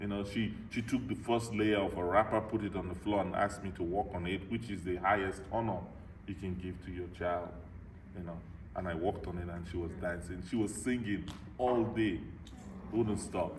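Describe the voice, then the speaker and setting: Audible room echo surrounds a man whose somewhat breathy voice sits at a fairly low pitch. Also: fairly even intonation, moderate pace. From Nigeria. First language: a Nigerian language (lost). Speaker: motivational speaker. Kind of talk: Q&A after a talk, personal story. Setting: club meeting with audience.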